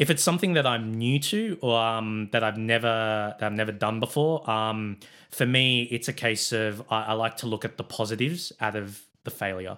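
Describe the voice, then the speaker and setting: A man with an Australian accent speaks at a moderate pace with hardly any pauses, his medium-pitched voice bright and sharp in tone, with ordinary pitch variation. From Sydney, Australia. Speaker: sports club president and production manager. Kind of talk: casual interview chat.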